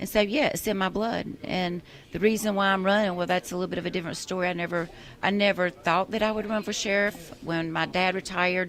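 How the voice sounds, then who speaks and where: Speaking with a South Carolina accent, a woman talks at a very fast pace and medium pitch. Her intonation stays monotone and flat. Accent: Southern US (South Carolina). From US South, York County, South Carolina. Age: 50s. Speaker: political candidate, retired law enforcement officer. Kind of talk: radio interview. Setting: radio studio.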